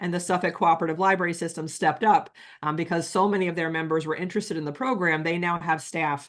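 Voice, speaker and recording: A woman speaks very fast in an American accent, her pitch fairly low and her intonation fairly even. The background is quiet. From New York. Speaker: library director and nonprofit board president. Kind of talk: webinar presentation.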